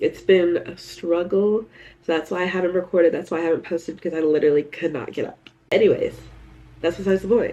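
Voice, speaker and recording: Her pace is very fast and her intonation fairly even. The woman's pitch is fairly low. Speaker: lifestyle vlogger. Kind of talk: casual vlog chat. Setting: in a store.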